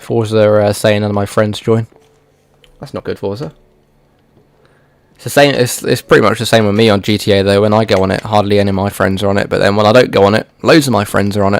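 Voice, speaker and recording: This man speaks at a very fast pace with a British accent, yet leaves long, frequent pauses. His pitch is fairly low and his intonation fairly even. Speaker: gaming streamer. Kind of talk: casual livestream chat.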